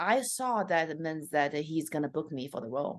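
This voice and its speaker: A woman with a Chinese accent speaks at a moderate pace in a very deep, low pitch, with ordinary pitch variation against a quiet background. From China. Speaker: stand-up comedian. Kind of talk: interview.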